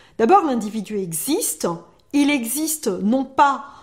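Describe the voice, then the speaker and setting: Very slowly, a woman speaks in a high pitch that swings very widely. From Algeria. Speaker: secularism advocate. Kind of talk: interview. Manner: hesitant with fillers.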